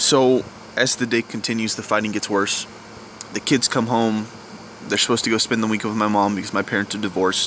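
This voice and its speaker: Quiet and monotone, a man talks at a fairly low pitch against noticeable background noise. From US South. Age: young. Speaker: vlogger. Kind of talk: personal confession vlog. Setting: outdoors at night. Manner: halting.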